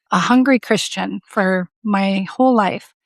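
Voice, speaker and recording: In an ordinary speaking voice with an American accent, the speaker talks at a fairly slow pace. The sound is dry and close with no echo, against a quiet background. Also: woman. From Southern California. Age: 60s. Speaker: coaching client. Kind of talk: interview, personal testimony.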